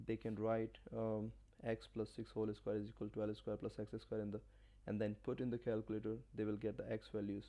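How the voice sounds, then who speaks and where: A man talks at a fairly quick pace with very even loudness. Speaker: math teacher. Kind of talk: tutorial.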